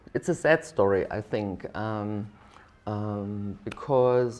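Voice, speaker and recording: In a German accent, a woman speaks with a very deep, low voice and a dark, mellow tone, using ordinary pitch variation. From East Germany. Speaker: diplomat, ambassador. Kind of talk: interview answer.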